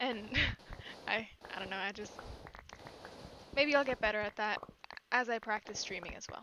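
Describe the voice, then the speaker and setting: Noticeable background noise sits behind a woman with a calm tone. Her pitch is fairly high and her intonation fairly even. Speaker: Twitch streamer. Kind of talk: casual gaming livestream chat. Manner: monotone; calm, low-energy.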